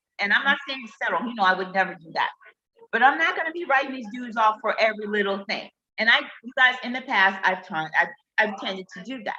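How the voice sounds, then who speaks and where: Her voice fairly high, a woman talks in an animated tone at a moderate pace with ordinary pitch variation. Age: 50s. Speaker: relationship talk livestreamer. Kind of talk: casual chat. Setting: live stream.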